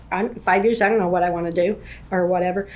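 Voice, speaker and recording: A woman speaks with an American accent. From Kansas. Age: 60s. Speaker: real estate agent. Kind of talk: interview. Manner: halting.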